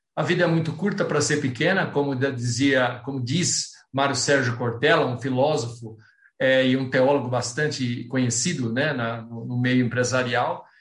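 Audible room echo surrounds a man speaking at a moderate pace. His voice is somewhat breathy, with medium pitch and fairly even intonation. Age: 60s. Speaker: planning and goal-setting speaker, amateur runner. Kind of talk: online talk with Q&A.

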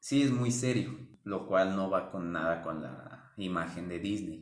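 A man's very deep, low voice at a very slow pace, with audible room echo. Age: 20s. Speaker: retail store employee. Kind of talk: casual chat.

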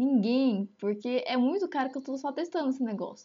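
The woman's tone is animated and her pitch high. She keeps up a fairly quick pace. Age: 20s. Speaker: veterinary student, amateur podcaster. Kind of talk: casual solo monologue.

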